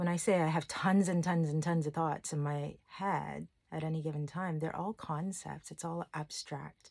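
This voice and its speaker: With hardly any pauses, a woman speaks at a very deep, low pitch in monotone, flat intonation. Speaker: life coach and content creator. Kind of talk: casual monologue. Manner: slow with long pauses.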